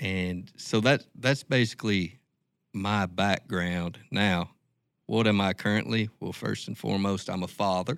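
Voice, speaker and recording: Captured on a very clean recording with a silent background, a man with an Ozark accent speaks at a fairly low pitch and a fairly slow pace. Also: ordinary pitch variation. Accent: Ozark Southern US. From Ozarks, Arkansas/Oklahoma. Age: 50s. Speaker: event founder. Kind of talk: casual interview.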